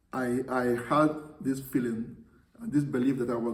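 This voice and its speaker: A man's voice with audible room echo. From Nigeria. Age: 70s. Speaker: priest. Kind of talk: interview. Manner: halting.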